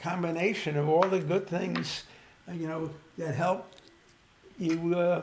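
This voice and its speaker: Amid noticeable background noise and audible room echo, a man with a high pitch speaks in a monotone, flat way at a fairly slow pace, with long, frequent pauses. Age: 80s+. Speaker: elderly guest. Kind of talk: casual chat. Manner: halting, many fillers.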